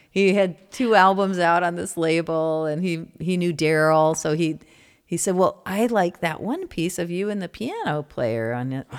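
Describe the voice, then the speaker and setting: This woman has a plain, everyday voice and a fairly low pitch. She speaks at a moderate pace with ordinary pitch variation. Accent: American. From US Midwest (Indiana, Michigan). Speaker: musician. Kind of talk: casual interview chat. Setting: studio.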